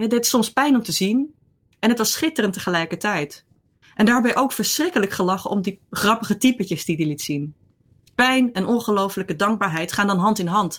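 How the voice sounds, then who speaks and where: A woman's somewhat breathy voice at medium pitch, fairly quick pace and lively intonation. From Netherlands. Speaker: columnist. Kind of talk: interview.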